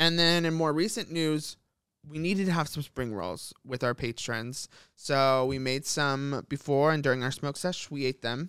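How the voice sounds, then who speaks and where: This man has a plain, everyday voice, pitched fairly high, with ordinary pitch variation and a moderate pace on a very clean recording with a silent background. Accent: American. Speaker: podcast co-host. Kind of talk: casual chat.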